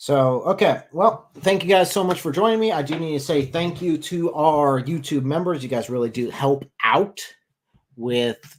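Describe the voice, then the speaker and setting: An ordinary speaking voice from a man, fairly high in pitch, with ordinary pitch variation and a moderate pace. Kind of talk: live stream call-in debate wrap-up. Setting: live stream.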